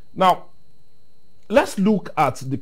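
A somewhat breathy man's voice makes very wide pitch swings. The background is quiet. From Nigeria. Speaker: TV current affairs host. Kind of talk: interview. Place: studio. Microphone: lapel.

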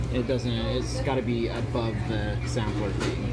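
Music playing behind a male speaker. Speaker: food vlogger. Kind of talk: casual vlog chat. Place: cafe. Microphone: phone near.

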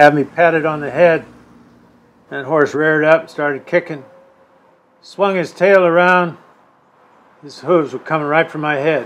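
A man speaks quietly. His intonation stays fairly even. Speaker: interviewee. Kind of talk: interview answer, personal story. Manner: aged, slow, quiet storytelling voice. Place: shop.

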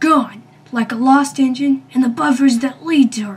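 In a put-on character voice with an extremely high pitch, a man talks at a moderate pace. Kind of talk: fan dub villain acting. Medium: fan dub. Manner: menacing, gloating, sneering.

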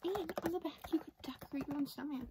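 Soft-spoken woman, dry sound with no echo, noticeable background noise. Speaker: candy reviewer. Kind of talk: casual vlog chat. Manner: soft ASMR shopkeeper voice. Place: home room.

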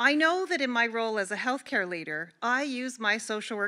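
A woman speaks at a moderate pace and a medium pitch. Her tone is bright and sharp.

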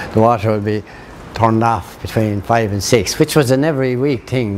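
A man with an Irish accent speaks at a moderate pace. His intonation is fairly even, over light background noise. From Ireland. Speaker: local interviewee. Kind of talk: interview answer, recalling local history. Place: street.

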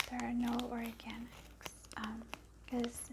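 Amid noticeable background noise, a soft-spoken woman talks. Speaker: vlogger. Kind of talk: casual haul vlog chat. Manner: soft ASMR speaking, gum chewing. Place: home room. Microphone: phone near.

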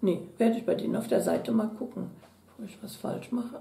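A woman talks at a fairly quick pace. Audible room echo is present. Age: 60s. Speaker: beauty product YouTuber. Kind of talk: unboxing video, casual chat. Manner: chatty. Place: home room.

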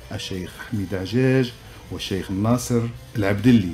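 Faint music sits in the background. A man talks at a moderate pace in a fairly low pitch. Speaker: radio host. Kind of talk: radio program introduction. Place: studio. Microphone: studio mic.

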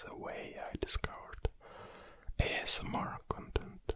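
Whispering, a man speaks at a very slow pace. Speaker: ASMR creator. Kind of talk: ASMR close whispering, personal introduction. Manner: whispered. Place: studio. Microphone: studio mic.

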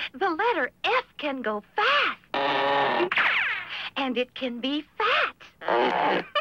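A cartoonish, female-sounding character voice, high-pitched for a woman. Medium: puppet show. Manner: whimsical, airy.

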